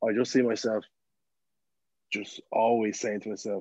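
A man with an Irish accent speaks at a moderate pace, his fairly low pitch paired with a dark, mellow tone. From Ireland, County Meath. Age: 20s. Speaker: TikTok content creator. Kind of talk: casual chat.

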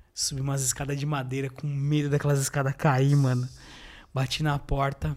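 Very clean recording, silent background: a man speaks at a moderate pace and a fairly high pitch. His intonation stays monotone and flat. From Greater São Paulo, Brazil. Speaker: IT technician. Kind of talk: casual chat.

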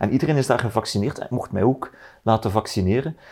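The pitch rises and falls in an ordinary way, with a Flemish accent. The recording is very clean, with a silent background. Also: man. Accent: Flemish Dutch. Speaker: politician. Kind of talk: casual chat. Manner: halting.

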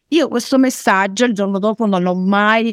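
In a dry, close sound with no echo, a woman speaks at a medium pitch with ordinary pitch variation. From northern Italy, Turin. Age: 40s. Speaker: network marketer. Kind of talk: interview testimony.

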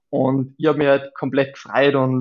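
A man talks in a monotone with flat intonation. His pitch is fairly high and his pace moderate. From Austria, Salzburg (Saalfelden). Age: 30s. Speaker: beach volleyball player. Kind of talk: interview.

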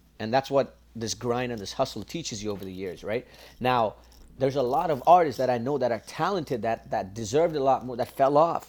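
A man with a Toronto accent speaks at a fairly quick pace with big swings in loudness, on a very clean recording with a silent background. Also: medium pitch for a man, ordinary pitch variation. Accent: Canadian (Toronto multicultural). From Canada, Scarborough (Toronto). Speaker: music composer and singer. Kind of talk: casual interview.

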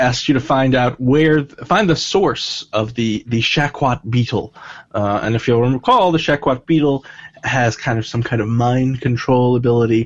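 A man with a plain, everyday voice, medium pitch, ordinary pitch variation, very even loudness and a moderate pace. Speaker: dungeon master. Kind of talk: casual tabletop roleplaying game chat.

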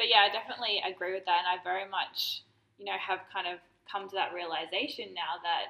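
A woman with an ordinary speaking voice at medium pitch, talking at a fairly quick pace. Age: 30s. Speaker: podcast host. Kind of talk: casual chat.

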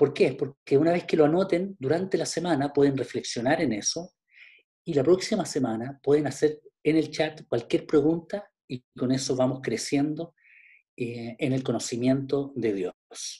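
Ordinary pitch variation marks this man's fairly high voice. It has a dark, mellow tone and is somewhat breathy. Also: fairly slow pace. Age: 50s. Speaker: pastor. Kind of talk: online Bible class.

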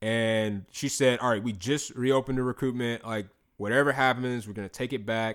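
A plain, everyday voice with an American accent moves at a fairly quick pace. Its intonation is fairly even on a very clean recording with a silent background. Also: man, medium pitch for a man. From South Carolina, North Augusta. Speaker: former basketball player and ministry worker. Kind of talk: casual interview.

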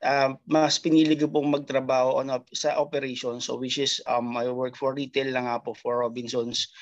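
A man talks at a medium pitch and moderate pace. His intonation is monotone and flat, with hardly any pauses. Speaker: retail worker abroad. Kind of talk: testimony.

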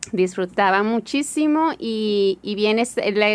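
Very slow pace with lively intonation. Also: woman. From Hermosillo, Sonora, Mexico. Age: 40s. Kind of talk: interview testimony.

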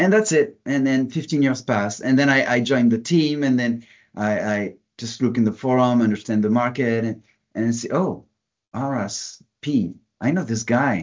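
A man with a normal speaking voice talks at a moderate pace and medium pitch, his pitch varying in an ordinary way. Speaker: software product manager. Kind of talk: casual interview.

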